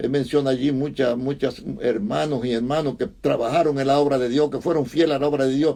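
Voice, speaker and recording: A man speaks at a fairly quick pace with hardly any pauses, his pitch fairly high. His tone is dark and mellow, and his intonation stays fairly even. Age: old. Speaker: pastor. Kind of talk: sermon. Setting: online video message. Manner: halting, repetitive.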